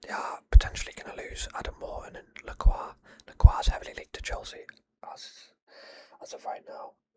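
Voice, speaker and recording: A man whispers in a calm tone at a fairly quick pace. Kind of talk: ASMR football predictions talk. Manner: whispered, calm.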